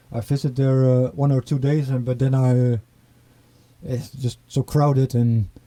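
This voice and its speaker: Speaking in an eastern Netherlands accent, a man with a medium pitch and a dark, mellow tone talks at a fairly slow pace with fairly even intonation and long, frequent pauses. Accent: rural eastern Dutch accent in Dutch. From eastern Netherlands, near German border. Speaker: record label owner and musician. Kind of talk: interview. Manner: halting.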